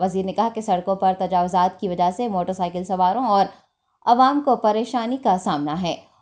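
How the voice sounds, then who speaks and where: This woman's voice sits at a medium pitch, with a dark, mellow tone. Her intonation is lively, and the background is quiet. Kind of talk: news bulletin reading. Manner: formal, steady newsreader delivery; Urdu-heavy formal Hindi-Urdu diction.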